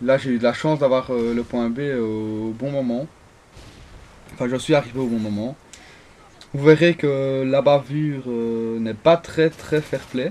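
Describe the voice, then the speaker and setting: At a fairly slow pace, a man speaks in a medium pitch with fairly even intonation and long, frequent pauses. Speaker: gaming video creator. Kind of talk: gameplay commentary. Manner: halting, many fillers and restarts.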